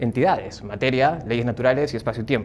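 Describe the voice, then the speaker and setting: A man with fairly even intonation at a very fast pace. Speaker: psychologist and philosophy lecturer. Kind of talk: lecture. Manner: speaking up to project.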